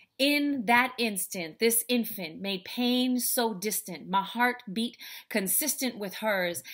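The voice moves at a very slow pace with ordinary pitch variation against a quiet background. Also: woman, fairly high pitch for a woman. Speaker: speaker, author and life coach. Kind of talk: spoken word poetry performance. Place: home room. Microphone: webcam.

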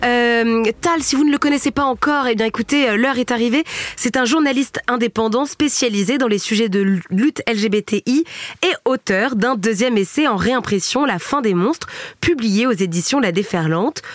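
A woman's high-pitched voice carries lively intonation at a moderate pace, with very even loudness and a dry, close sound with no echo. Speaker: podcast host. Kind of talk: casual chat. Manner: animated.

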